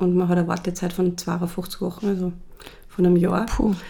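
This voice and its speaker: The delivery is monotone and flat at a moderate pace. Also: woman. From Austria, Salzburg. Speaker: cosmetics brand founder. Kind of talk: interview.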